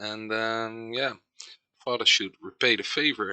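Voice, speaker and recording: A man with a Dutch accent, bright and sharp in tone, over a quiet background. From Netherlands. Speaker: gaming video creator. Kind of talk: let's play commentary. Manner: halting, many fillers.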